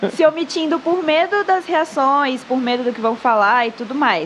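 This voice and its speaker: Over noticeable background noise, a woman with a high pitch speaks at a moderate pace with very wide pitch swings. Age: 20s. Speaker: Instagram content creator. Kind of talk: casual podcast interview. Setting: live-streamed podcast.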